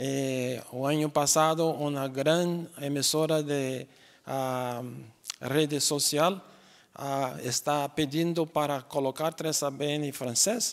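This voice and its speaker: Against a quiet background, a man with a Brazilian accent speaks at a very slow pace. His pitch is fairly high and his intonation fairly even. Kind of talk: interview. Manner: halting with many fillers. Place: stage. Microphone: handheld.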